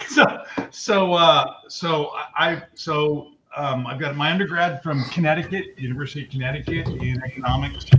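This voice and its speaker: A man is speaking. Music plays in the background. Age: 60s. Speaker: lawyer. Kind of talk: casual interview. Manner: halting, many restarts.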